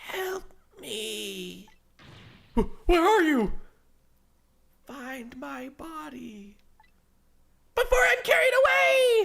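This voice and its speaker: In a put-on character voice, the speaker moves at a very slow pace with long, frequent pauses. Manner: pleading for help.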